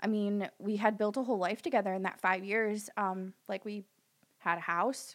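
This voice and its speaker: At a moderate pace, a woman with a plain, everyday voice talks at medium pitch with fairly even intonation on a very clean recording with a silent background. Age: 30s. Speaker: dog groomer and hairdresser. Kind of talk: casual chat.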